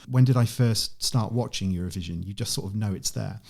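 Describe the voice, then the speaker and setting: Speaking with a British accent, a man has a dark, mellow tone that is somewhat breathy, with lively intonation. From UK. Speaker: online event organiser. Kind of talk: podcast interview.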